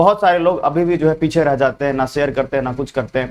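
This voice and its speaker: A man with an ordinary speaking voice talks with ordinary pitch variation. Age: young. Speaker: online exam coaching teacher. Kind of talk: live online class address to students. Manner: earnest, pleading.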